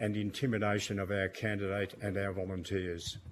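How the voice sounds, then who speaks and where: The delivery is monotone and flat, at a moderate pace, with an Australian accent. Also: man. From Australia, Melbourne. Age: 70s. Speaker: witness at parliamentary inquiry, campaign volunteer. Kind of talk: prepared statement to committee. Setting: parliamentary committee hearing.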